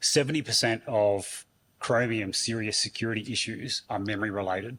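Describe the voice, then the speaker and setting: Fairly low in pitch, a man with an unremarkable speaking voice talks at a fairly quick pace with fairly even intonation. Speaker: conference speaker. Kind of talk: conference talk. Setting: stage with audience.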